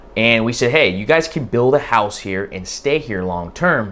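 A man's lively intonation comes through at a moderate pace. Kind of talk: educational vlog talk. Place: home room.

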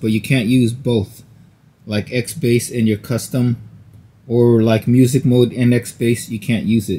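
A man speaks at a fairly slow pace in a dark, mellow tone that is somewhat breathy. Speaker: tech review YouTuber. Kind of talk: product unboxing and review. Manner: casual, with many fillers.

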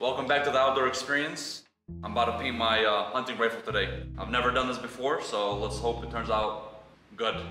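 Over clear music in the background and audible room echo, a man talks with fairly even intonation. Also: fairly quick pace. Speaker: outdoor DIY vlogger. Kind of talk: tutorial. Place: garage. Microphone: camera far.

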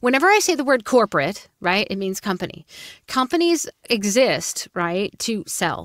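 A woman with an East Coast American accent, fairly high in pitch with very wide pitch swings, at a moderate pace, dry sound with no echo and a quiet background. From US East Coast. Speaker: voice actor and coach. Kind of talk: interview conversation. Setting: video call. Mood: warm, upbeat storytelling. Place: booth. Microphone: studio mic.

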